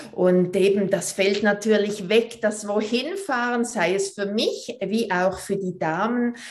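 A woman talks at a very slow pace and medium pitch, with hardly any pauses. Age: 40s. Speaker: movement teacher and pelvic floor trainer. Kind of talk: podcast interview.

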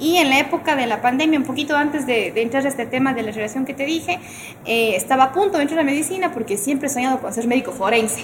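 Over noticeable background noise, a woman talks at a very fast pace with a high pitch. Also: ordinary pitch variation. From Ecuador, Cuenca. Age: 20s. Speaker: singer-songwriter. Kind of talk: casual chat.

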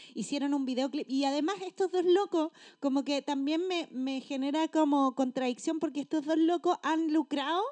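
In a Chilean accent, a woman with a high pitch speaks at a moderate pace with hardly any pauses and a dry, close sound with no echo. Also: ordinary pitch variation. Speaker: podcast co-host, teacher. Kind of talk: casual chat.

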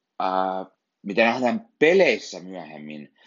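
A man's fairly low voice varies in pitch in an ordinary way as he proceeds at a very slow pace. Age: 30s. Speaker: film podcaster. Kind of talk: solo film review podcast. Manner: halting, many fillers and repetitions.

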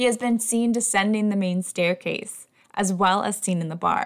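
Recorded very cleanly over a silent background, a woman with a plain, everyday voice talks at a medium pitch and a moderate pace, using ordinary pitch variation. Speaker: podcast host and teacher. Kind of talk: scripted haunted-history narration, storytelling tone. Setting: home recording, kitten audible. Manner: measured, clear, engaged storyteller.

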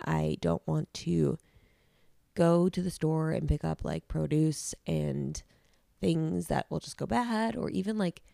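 In a very clean recording with a silent background and a dry, close sound with no echo, a woman speaks at a fairly slow pace in a low pitch, her dark, mellow tone touched with vocal fry.

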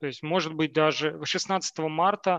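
A man speaks in a normal speaking voice at a fairly high pitch. The sound is dry and close with no echo, against a quiet background. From Siberia, Novokuznetsk. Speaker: software engineer. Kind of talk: casual chat.

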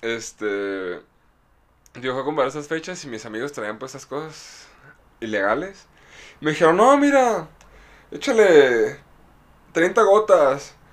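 Very slowly, with long, frequent pauses, a man speaks in a Mexican accent at a fairly high pitch. His pitch swings very widely, and his loudness varies greatly. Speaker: podcast co-host. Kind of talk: casual chat.

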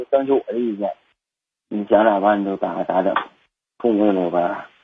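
The speaker is a man. His voice rises and falls with ordinary pitch variation. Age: 30s. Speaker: veterinarian and livestock farmer calling a radio hotline. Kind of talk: personal problem call to advice show. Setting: phone call. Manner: halting.

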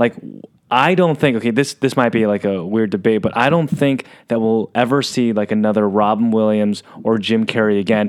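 A man's normal speaking voice at medium pitch, with ordinary pitch variation and very even loudness. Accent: American. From San Diego, California. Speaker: podcast host. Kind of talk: casual interview chat. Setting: studio with camera.

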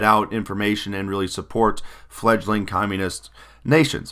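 A man's bright, sharp voice, fairly low in pitch, at a moderate pace, on a very clean recording with a silent background. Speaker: history teacher. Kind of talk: lecture. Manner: halting, many fillers. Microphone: new microphone.

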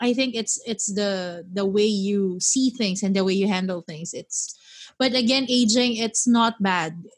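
A woman speaks at a very slow pace with a medium pitch, ordinary pitch variation and a somewhat breathy voice. The recording is very clean, with a silent background. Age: 30s. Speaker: podcast host. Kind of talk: casual chat.

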